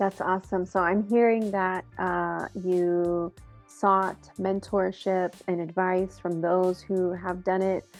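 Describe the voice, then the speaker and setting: Very slow speech in a monotone, flat intonation over music in the background. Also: woman, medium pitch for a woman. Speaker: executive director of a student and professional association. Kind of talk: casual interview questions.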